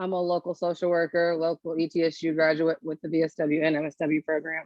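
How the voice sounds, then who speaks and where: Here is a woman with an American accent, an ordinary speaking voice and a fairly low pitch, talking at a fairly quick pace. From New Jersey. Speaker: social worker. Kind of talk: panel discussion.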